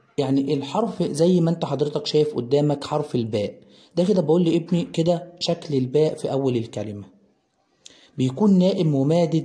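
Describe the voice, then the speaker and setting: Somewhat breathy and dark, mellow in tone, a man talks at a moderate pace with a fairly high pitch and lively intonation. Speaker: primary school teacher. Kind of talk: tutorial.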